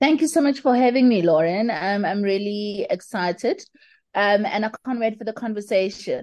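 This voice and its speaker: Her pitch fairly high, a woman talks in an ordinary speaking voice. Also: ordinary pitch variation, moderate pace. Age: 30s. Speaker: burn survivor and motivational speaker. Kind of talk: interview.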